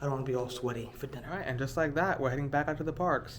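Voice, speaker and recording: A man's medium-pitched voice with fairly even intonation, amid noticeable background noise and audible room echo. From New York. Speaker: travel vlogger. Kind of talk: casual vlog narration. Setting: hotel hallway then outdoors at boat dock.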